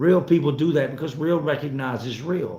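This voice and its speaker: A somewhat breathy man with an American accent at a moderate pace, with audible room echo. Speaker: YouTuber, home renovation contractor. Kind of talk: live stream chat. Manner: casual, animated.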